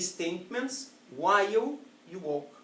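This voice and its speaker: Noticeable background noise and audible room echo surround a man with a Portuguese accent whose high pitch makes very wide swings. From Italy. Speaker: public speaking trainer. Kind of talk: educational presentation.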